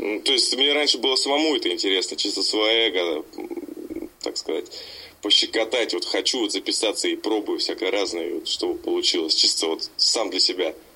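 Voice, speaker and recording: The man holds a moderate pace while noticeable background noise carries on behind him. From Siberia, Novokuznetsk. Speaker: rapper and label owner. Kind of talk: interview. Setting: Skype call. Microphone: Skype audio, possible sound problems.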